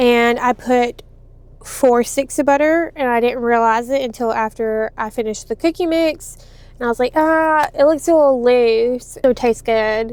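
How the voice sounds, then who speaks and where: A woman speaks in a high voice with a Louisiana accent and ordinary pitch variation. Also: moderate pace. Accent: US Southern (Louisiana). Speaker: home baker vlogger. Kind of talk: casual vlog chat. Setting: at home, seated.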